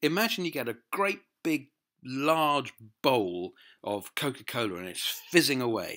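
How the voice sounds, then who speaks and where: A man speaks in a southern English accent. The recording is very clean, with a silent background. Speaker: motivational speaker. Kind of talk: personal testimony. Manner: halting, repeats words.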